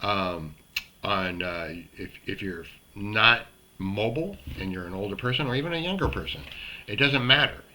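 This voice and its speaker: Pausing long and often, a man with a fairly low pitch and lively intonation speaks at a moderate pace through noticeable background noise. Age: 60s. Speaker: self-help video host. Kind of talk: motivational talk to camera. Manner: casual, halting with fillers.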